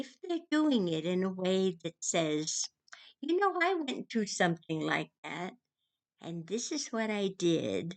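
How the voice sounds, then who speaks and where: A woman's medium-pitched voice, very slow, with very wide pitch swings. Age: old. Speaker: vlogger. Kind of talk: casual talk to camera. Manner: loud.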